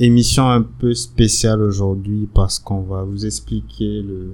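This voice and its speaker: The man's voice sits at a fairly low pitch with a dark, mellow tone. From Benin. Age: 30s. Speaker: podcast co-host. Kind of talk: casual chat.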